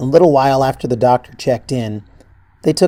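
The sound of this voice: Reading done in an unforced voice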